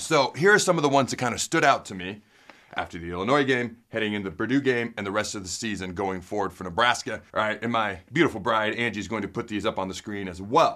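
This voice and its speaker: Over a quiet background, the very fast speech has a bright, sharp tone, ordinary pitch variation and big swings in loudness. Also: man. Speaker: sports show host. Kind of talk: energetic sports commentary. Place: studio.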